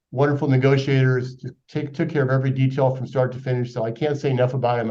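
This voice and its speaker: Very fast and monotone, a man talks at a medium pitch in a dark, mellow tone with flat intonation. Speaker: financial advisor. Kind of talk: webinar presentation. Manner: loud. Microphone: too quiet at first.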